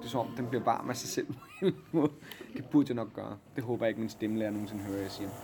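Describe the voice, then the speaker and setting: Over noticeable background noise, a man at a medium pitch speaks at a very fast pace with ordinary pitch variation. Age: 30s. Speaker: stage actor. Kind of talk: casual backstage interview. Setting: theatre dressing room.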